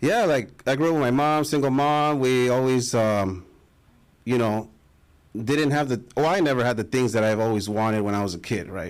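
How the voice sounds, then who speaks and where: Speaking with an American accent, a man uses a normal speaking voice at medium pitch with ordinary pitch variation. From Los Angeles, Echo Park. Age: 30s. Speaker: podcast host. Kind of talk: podcast interview.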